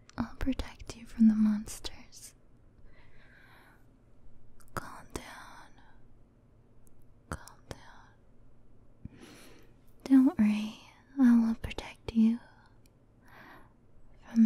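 Very slow, soft-spoken speech with long, frequent pauses and a dry sound with no echo. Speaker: voice actor performing a comforting character. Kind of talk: roleplay audio drama, soothing comfort talk. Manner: soft, tender, possessive reassurance.

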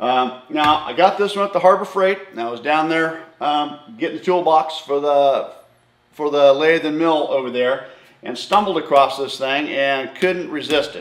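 There is audible room echo around this man's voice. His pitch varies in an ordinary way. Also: moderate pace. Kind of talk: casual vlog chat. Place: garage. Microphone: camera far.

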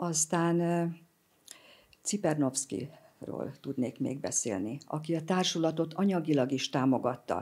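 A woman speaks at a very slow pace with vocal fry. Her voice is very deep and low in pitch, with a dark, mellow tone. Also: lively intonation. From Hungary. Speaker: president of a spiritual society; guest. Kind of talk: interview. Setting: studio. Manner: halting, many fillers. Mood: warm, enthusiastic storytelling. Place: studio. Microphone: studio mic.

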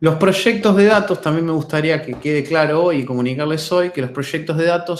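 Fairly high-pitched male voice, a normal speaking voice, moderately paced and with ordinary pitch variation. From Argentina, Buenos Aires. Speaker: data science lecturer. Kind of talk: webinar lecture. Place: home room. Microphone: webcam.

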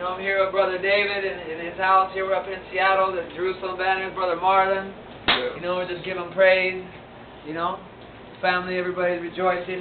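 A man's high-pitched, monotone voice with flat intonation at a fairly quick pace, amid noticeable background noise. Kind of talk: casual vlog chat. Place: kitchen. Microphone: phone near.

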